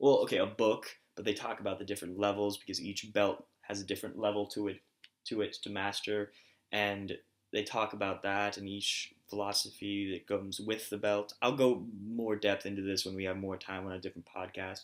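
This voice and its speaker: Fairly quick, monotone, flat speech on a very clean recording with a silent background. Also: man, fairly low pitch for a man. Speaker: podcast host. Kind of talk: casual chat. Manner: halting, stuttering.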